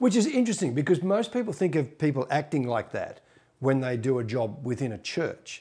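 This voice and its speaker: Somewhat breathy, a man talks at a fairly quick pace in a dark, mellow tone. His pitch swings very widely. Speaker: interviewer. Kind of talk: interview. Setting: home interview.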